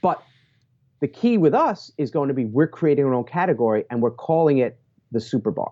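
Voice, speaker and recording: An energetic voice moves at a fairly quick pace with lively intonation. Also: man, fairly high pitch for a man. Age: 40s. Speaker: entrepreneur. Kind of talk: casual chat.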